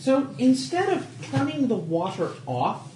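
Someone with an American accent speaks at a fairly slow pace over noticeable background noise. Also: man. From Texas. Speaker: tabletop game player. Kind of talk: casual chat during a tabletop roleplaying game.

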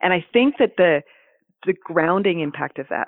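A woman talks with a Canadian accent. She moves at a fairly quick pace. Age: 40s. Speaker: therapist and former NICU family support specialist. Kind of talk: interview conversation.

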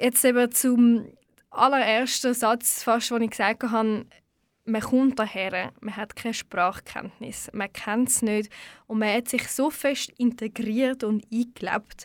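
A woman speaks at a fairly high pitch, very slowly and in a flat monotone. The recording is very clean, with a silent background. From Switzerland, Baden region. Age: 20s. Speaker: radio host. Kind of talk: poetry slam; interview. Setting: radio studio.

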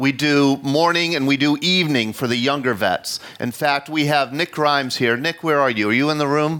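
With a bright, sharp tone and fairly high pitch, a man talks at a moderate pace with ordinary pitch variation, very even loudness and hardly any pauses. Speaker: host of veterans storytelling events, history teacher. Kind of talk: live storytelling event hosting. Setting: live event with audience at senior center.

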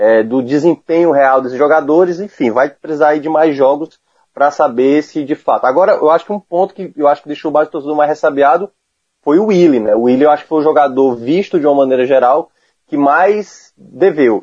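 In a plain, everyday voice, a man talks at a fairly quick pace, his pitch fairly high with ordinary pitch variation. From Ceará, Brazil. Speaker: football commentator. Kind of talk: casual chat. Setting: remote call.

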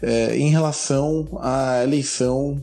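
A man speaks in a dark, mellow tone. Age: 30s. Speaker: immigrant worker. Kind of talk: recorded commentary.

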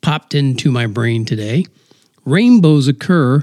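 A natural reading voice, lively in intonation, set against a quiet background

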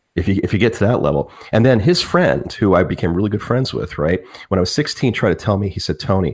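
A man speaks at a very fast pace in a fairly low, somewhat breathy voice with lively intonation, on a very clean recording with a silent background. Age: 40s. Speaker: music teacher. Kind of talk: casual chat. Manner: animated.

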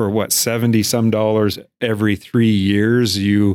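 Captured in a very clean recording against a silent background, a man with an American accent speaks at a fairly low pitch. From eastern Montana (Miles City). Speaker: chamber of commerce CEO. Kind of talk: casual interview.

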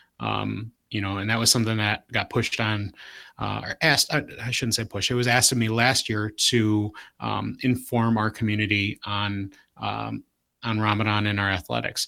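In a very clean recording with a silent background, a man with an American accent speaks in a bright, sharp tone at a fairly low pitch, with monotone, flat intonation. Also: moderate pace. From Southwest Detroit. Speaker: athletic trainer, leadership speaker. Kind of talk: casual panel discussion.

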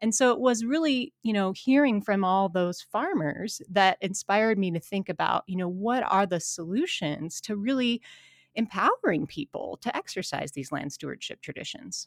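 A woman with an American accent has a plain, everyday voice at medium pitch, lively intonation and a moderate pace, recorded with a dry, close sound and no echo. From Montana, US. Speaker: environmental studies professor and author. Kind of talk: interview conversation.

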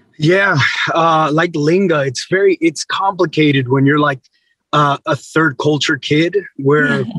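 A plain, everyday voice from a man, fairly high pitched and fairly slow, with fairly even intonation and a dry, close sound with no echo. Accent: American. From Texas. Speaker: ministry leader. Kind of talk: casual chat.

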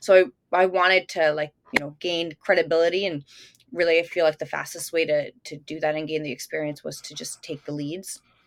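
Speaking in a plain, everyday voice, a woman with a fairly low pitch talks at a fairly quick pace with fairly even intonation and big swings in loudness, the sound dry and close with no echo. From Italy, moved to the US at age 8. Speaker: real estate agent. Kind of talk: interview.

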